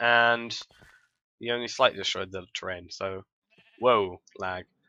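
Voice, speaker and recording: A man speaks with a British accent in a bright, sharp tone. The sound is dry and close, with no echo. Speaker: gaming video creator. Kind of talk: let's play commentary. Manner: loud, almost shouting.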